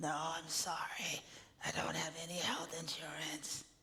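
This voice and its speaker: Whispering in a put-on character voice, the speaker sounds raspy and moves at a fairly slow pace. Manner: apologetic.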